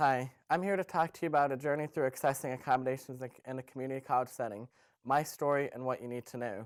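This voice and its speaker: Very fast male speech at medium pitch, with fairly even intonation, on a very clean recording with a silent background. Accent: American. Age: 20s. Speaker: community college student and self-advocate. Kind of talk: prepared webcast talk. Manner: hesitant, with fillers.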